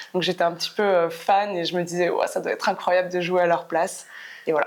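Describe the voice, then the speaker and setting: A woman's fairly low, monotone voice with flat intonation at a fairly quick pace. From France, Clermont-Ferrand. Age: 30s. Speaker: professional basketball player. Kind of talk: podcast interview. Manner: hesitant, many fillers.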